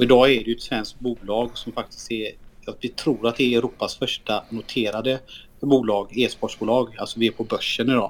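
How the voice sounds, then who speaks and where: With a monotone, flat intonation, a man keeps to a medium pitch and a moderate pace. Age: 30s. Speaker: esports team CEO. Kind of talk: casual interview.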